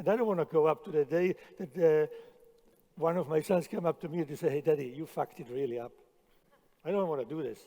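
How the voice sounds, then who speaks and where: The voice has a dark, mellow tone and moves at a very fast pace, broken by long, frequent pauses. Loudness swings widely. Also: man, fairly high pitch for a man, ordinary pitch variation. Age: 60s. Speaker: chef. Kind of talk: conference talk. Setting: stage with audience. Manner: halting, repeats words.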